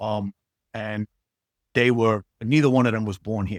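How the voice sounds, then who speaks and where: With a strong New York accent, a man speaks at a moderate pace and medium pitch on a very clean recording with a silent background and a dry, close sound with no echo. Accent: strong old-school New York. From New York City, Queens. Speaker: actor. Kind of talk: casual interview chat. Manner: casual, many fillers.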